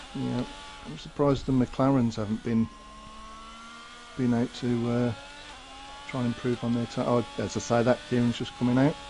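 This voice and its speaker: A man with a Birmingham accent, medium pitch, fairly even intonation, a moderate pace, long and frequent pauses, and noticeable background noise. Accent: Brummie. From Birmingham, England. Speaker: esports race co-commentator. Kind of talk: live commentary.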